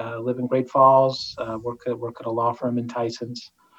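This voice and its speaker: A man with an American accent, medium pitch and a fairly slow pace. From Northern Virginia. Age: 50s. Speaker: lawyer. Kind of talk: interview testimony. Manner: halting, many fillers.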